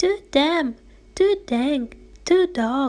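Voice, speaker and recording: Putting on a character voice, a woman sounds squeaky and high-pitched. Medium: read story.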